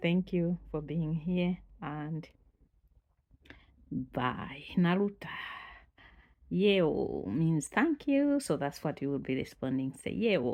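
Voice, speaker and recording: Speaking very slowly with long, frequent pauses, a woman with a Malawian accent has a fairly low pitch and a dark, mellow tone against a quiet background. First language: Chitumbuka. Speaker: language teacher. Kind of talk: channel introduction.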